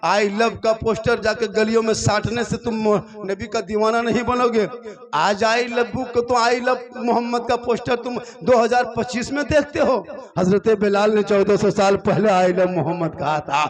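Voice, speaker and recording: There is noticeable background noise as a man speaks in a high voice. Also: ordinary pitch variation. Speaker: Islamic preacher giving a public sermon. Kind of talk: Islamic sermon (taqreer) to a live crowd, humorous and emotional. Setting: live public gathering at night, PA system. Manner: colloquial, humorous, lively, with crowd interaction.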